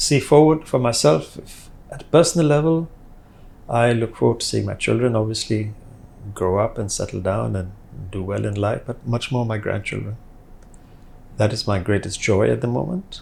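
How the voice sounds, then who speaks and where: At a moderate pace, a man talks in a somewhat breathy, medium-pitched voice with lively intonation and long, frequent pauses. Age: 60s. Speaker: business owner. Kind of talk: interview.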